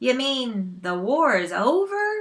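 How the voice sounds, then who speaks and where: This put-on character voice jumps through very wide pitch swings. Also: female-sounding voice. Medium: read story.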